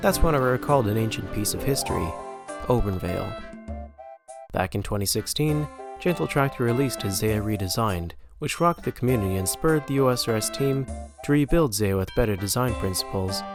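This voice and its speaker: Music plays in the background as a man talks at a fairly quick pace. His pitch is medium and his intonation lively. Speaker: game map designer. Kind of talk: scripted video essay narration.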